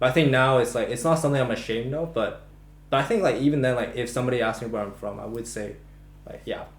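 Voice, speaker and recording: A very fast American-accented man at medium pitch with ordinary pitch variation, amid noticeable background noise and audible room echo. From Macau. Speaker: podcast co-host. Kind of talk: casual chat. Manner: halting, many false starts.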